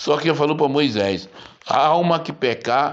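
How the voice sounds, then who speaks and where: Amid audible room echo, a man speaks fairly slowly with lively intonation. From Brazil. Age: 70s. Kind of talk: sermon.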